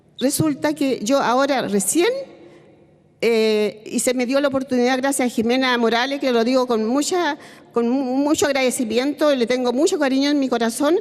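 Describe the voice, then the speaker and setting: Over noticeable background noise, a woman speaks with a high pitch, ordinary pitch variation and very even loudness. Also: moderate pace. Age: 70s. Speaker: retired hospital technician. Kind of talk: testimony at a public seminar. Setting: seminar panel, televised. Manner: halting, with hesitations and restarts.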